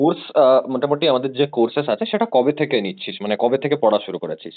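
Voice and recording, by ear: A man talks fast at a medium pitch. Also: ordinary pitch variation.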